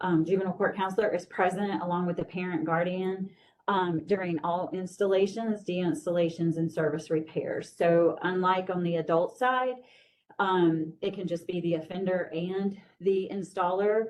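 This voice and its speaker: Here is a woman with a plain, everyday voice. She has medium pitch, fairly even intonation and a moderate pace. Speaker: juvenile justice program staff presenter. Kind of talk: training presentation.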